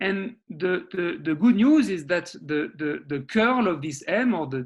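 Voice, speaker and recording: A man speaks at a fairly slow pace. His pitch is high, with lively intonation. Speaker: mathematics researcher. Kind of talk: lecture. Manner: halting, repeats words.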